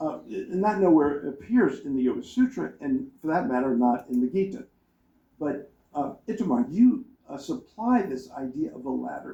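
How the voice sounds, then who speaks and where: Mumbling at a moderate pace, a man with a dark, mellow tone lets his pitch swing very widely. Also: fairly high pitch for a man. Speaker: professor reviewing a book on a panel. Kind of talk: academic panel talk. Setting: conference panel with audience. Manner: halting, many repeated words.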